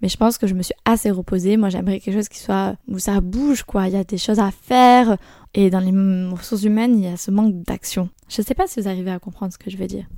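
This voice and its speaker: At a very fast pace, a woman speaks in a dark, mellow tone with a medium pitch, fairly even intonation and big swings in loudness, on a very clean recording with a silent background. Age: 20s. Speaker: podcast host and work-study student. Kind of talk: solo podcast monologue. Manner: casual with many fillers.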